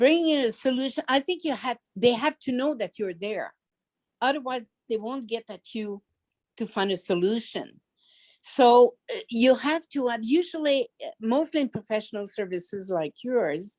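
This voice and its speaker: Recorded dry and close with no echo, a woman with a French accent speaks at a high pitch and moderate pace with lively intonation. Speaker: business founder. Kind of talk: Q&A answer on video call. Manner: halting.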